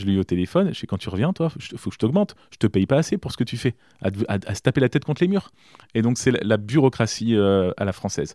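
In a very clean recording with a silent background, a dark, mellow voice races along at a very fast pace with very wide pitch swings, the sound dry and close with no echo. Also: man, medium pitch for a man. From France, Berry (Indre). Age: 30s. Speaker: mayor. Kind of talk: interview. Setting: mayor's office. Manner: halting, frequent repetitions.

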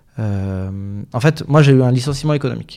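The tone is dark and mellow. Speech moves at a fairly quick pace with ordinary pitch variation. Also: man. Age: 30s. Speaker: communication agency founder. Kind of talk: interview. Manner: hesitant, many fillers.

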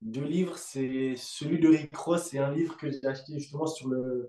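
A man speaks very slowly, his pitch fairly high. The intonation stays monotone and flat. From Africa. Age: 20s. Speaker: fitness coach. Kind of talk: casual chat.

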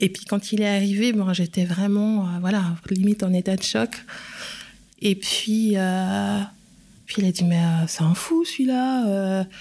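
A somewhat breathy woman, fairly slow, with long, frequent pauses. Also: medium pitch for a woman, ordinary pitch variation. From Switzerland, Geneva. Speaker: communications professional. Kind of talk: testimony.

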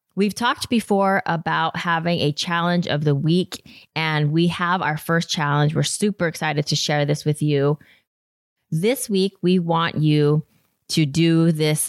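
A woman with an American accent and a plain, everyday voice speaks at a fairly low pitch and fairly slow pace, with fairly even intonation and very even loudness, in a very clean, dry, close recording with a silent background and no echo. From Utah, US. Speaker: podcast co-host. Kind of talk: casual chat.

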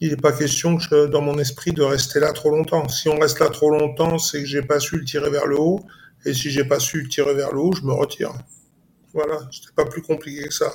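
Somewhat breathy and fairly high-pitched, a man talks at a fairly quick pace with monotone, flat intonation. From Paris region, Saint-Denis. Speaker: former football coach. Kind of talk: casual interview.

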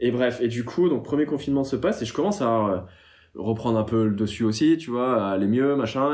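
The man's delivery is fairly quick. Ordinary pitch variation runs through his speech. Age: 30s. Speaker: meme account creator. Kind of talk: casual chat.

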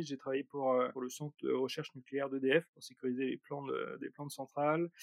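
This man speaks with a fairly high pitch. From Brittany, France (Rennes). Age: 30s. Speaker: startup founder. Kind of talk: interview. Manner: halting, many repetitions and fillers.

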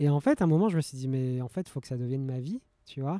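A man is speaking. His tone is dark and mellow. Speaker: professional poker player and traveller. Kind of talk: casual interview. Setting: outdoors in a bar garden.

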